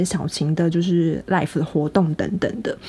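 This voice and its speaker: An ordinary speaking voice from a woman, at a moderate pace and medium pitch with ordinary pitch variation, comes through. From Taiwan. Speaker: podcast co-host. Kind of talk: casual chat.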